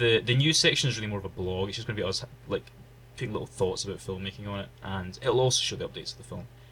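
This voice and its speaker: Very fast, a man speaks with a bright, sharp tone, vocal fry, a fairly low pitch and ordinary pitch variation. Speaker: podcast co-host.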